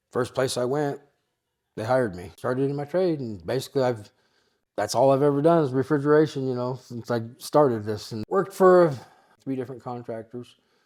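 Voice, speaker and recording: A man's medium-pitched voice with an American accent, fairly quick pace, ordinary pitch variation and big swings in loudness, on a very clean recording with a silent background. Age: 60s. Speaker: burn survivor, refrigeration contractor. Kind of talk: interview storytelling. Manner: hesitant, many fillers.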